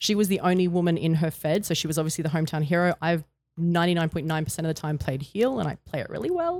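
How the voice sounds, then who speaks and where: A woman with an Australian accent speaks in a fairly low pitch. She goes at a very fast pace with fairly even intonation. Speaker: retired wrestler. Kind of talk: interview.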